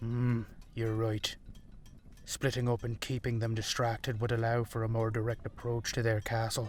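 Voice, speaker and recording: A man puts on a character voice at a medium pitch, talking at a moderate pace with monotone, flat intonation. Background noise is clearly audible. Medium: audio drama. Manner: commanding, stern.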